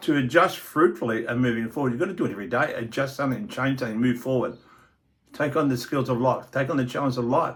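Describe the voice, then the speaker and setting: A man's medium-pitched, somewhat breathy voice at a very fast pace, with ordinary pitch variation. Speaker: motivational podcaster. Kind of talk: motivational monologue. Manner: repetitive, emphatic.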